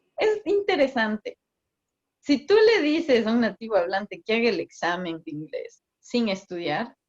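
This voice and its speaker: At a fairly slow pace, a woman with a fairly high pitch speaks in very wide pitch swings. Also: dry, close sound with no echo. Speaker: migration consultant. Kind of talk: interview. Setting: video call.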